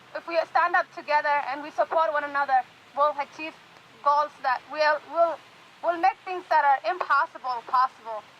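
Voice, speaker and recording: A woman's high, raised and projected voice with fairly even intonation, dry and close with no echo, amid noticeable background noise. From Somali refugee camp, East Africa. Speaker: university student and community activist. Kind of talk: rally speech. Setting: outdoor rally with amplification. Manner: halting.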